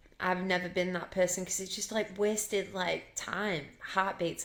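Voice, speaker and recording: A woman with a Yorkshire accent talks at a medium pitch in a flat monotone. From Yorkshire, England. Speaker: singer. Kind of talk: casual chat. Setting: podcast interview.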